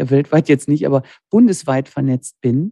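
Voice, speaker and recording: A woman's dark, mellow tone, dry and close with no echo, against a quiet background. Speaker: master dental technician and lab owner. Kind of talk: interview conversation. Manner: cheerful, smiling tone.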